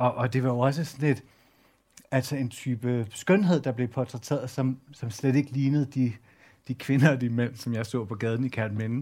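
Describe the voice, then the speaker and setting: On a very clean recording with a silent background, a man at medium pitch speaks at a moderate pace, somewhat breathy, with fairly even intonation. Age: 40s. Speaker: journalist and culture editor. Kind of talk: public talk on stage.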